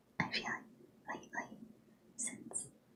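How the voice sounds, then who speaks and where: Very slow whispering is heard through noticeable background noise. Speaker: live streamer. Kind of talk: casual chatting to stream viewers.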